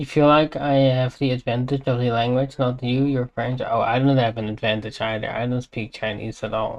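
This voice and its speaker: A man speaks with a non-native accent at a moderate pace. His intonation is monotone and flat. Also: medium pitch for a man, hardly any pauses. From Europe. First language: not English. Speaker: streamer. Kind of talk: casual chat. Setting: live stream.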